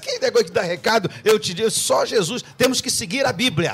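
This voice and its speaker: Very fast and animated, a man talks at a high pitch. His pitch variation is ordinary. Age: 60s. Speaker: pastor. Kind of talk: radio debate.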